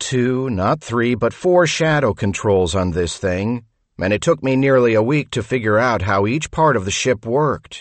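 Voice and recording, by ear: Reading aloud in a natural voice with lively intonation, over a quiet background.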